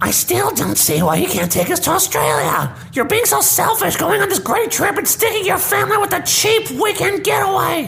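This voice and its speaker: Someone shouts in a put-on character voice. Clear background noise can be heard. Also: moderate pace. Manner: whiny, complaining.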